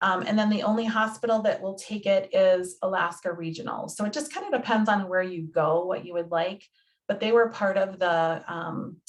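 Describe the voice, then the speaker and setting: With an unremarkable speaking voice, a woman talks at medium pitch and a moderate pace, with ordinary pitch variation. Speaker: health insurance navigator. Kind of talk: presentation.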